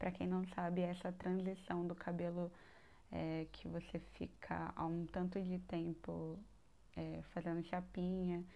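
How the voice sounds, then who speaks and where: The voice has a dark, mellow tone and moves at a fairly slow pace with monotone, flat intonation. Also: woman, fairly low pitch for a woman. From Brazil, São Paulo north coast. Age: 20s. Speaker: podcast host, university student. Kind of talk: casual personal monologue.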